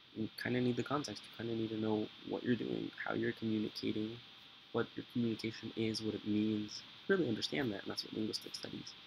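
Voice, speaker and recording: A man talks at a very fast pace and medium pitch amid noticeable background noise. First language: Spanish. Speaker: vlogger. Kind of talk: casual vlog monologue. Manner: halting, many fillers.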